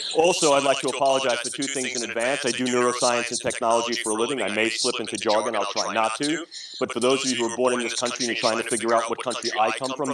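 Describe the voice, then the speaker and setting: This man talks at a very fast pace in a New York accent, with hardly any pauses. His medium-pitched voice has monotone, flat intonation, and noticeable background noise runs underneath. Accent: New York City. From New York City. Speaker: neuroscience and neurotechnology speaker. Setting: stage.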